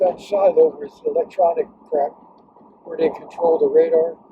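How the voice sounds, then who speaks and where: A man talks at a moderate pace. There is noticeable noise in the background. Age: 100s (80s+). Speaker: war veteran. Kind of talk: casual chat. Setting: in a car. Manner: halting. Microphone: poor audio quality.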